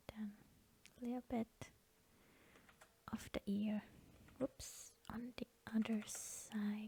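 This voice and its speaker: Soft-spoken and very slow. Long pauses come often. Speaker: digital artist. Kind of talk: soft-spoken ASMR drawing session. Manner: hesitant, repeats words.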